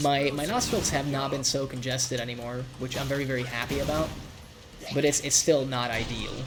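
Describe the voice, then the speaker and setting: Noticeable background noise sits under speech that runs at a fairly quick pace. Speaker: video game streamer. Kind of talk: gameplay live stream commentary. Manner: casual, repetitive with frequent restarts.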